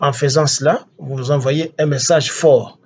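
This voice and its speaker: Very slowly, a man speaks in a fairly high pitch with a somewhat breathy sound. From DR Congo. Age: 60s. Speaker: political activist. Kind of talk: political address. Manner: halting.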